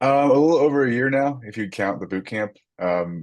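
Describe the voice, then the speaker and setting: With lively intonation, a man speaks at a moderate pace against a quiet background. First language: French. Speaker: software developer. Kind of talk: casual interview.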